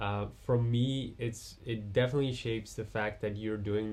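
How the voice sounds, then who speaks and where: A man speaks in a dark, mellow, somewhat breathy voice with flat, monotone intonation. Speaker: podcast host. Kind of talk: interview conversation.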